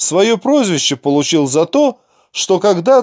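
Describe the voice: A quiet backdrop behind plain reading aloud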